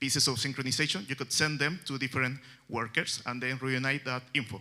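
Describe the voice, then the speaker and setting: A man speaks in a medium pitch with a Chilean Spanish accent. His tone is bright and sharp, and his pace is moderate. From Chile, Santiago. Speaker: software developer. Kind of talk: conference talk. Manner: halting, many fillers.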